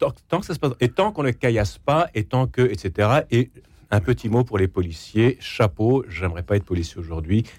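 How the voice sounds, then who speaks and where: The man's intonation is lively and somewhat breathy, at a moderate pace. His sound is dry and close with no echo. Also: medium pitch for a man. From Quebec, Canada. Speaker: essayist and radio journalist. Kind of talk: radio panel debate.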